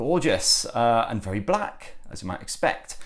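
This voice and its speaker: A man with a northern English accent. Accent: northern English twang. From northern England. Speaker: tech reviewer. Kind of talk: unboxing review.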